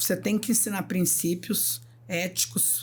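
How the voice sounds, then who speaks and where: Her voice has a somewhat breathy quality. This woman speaks at a very slow pace. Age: 60s. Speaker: nurse. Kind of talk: podcast interview.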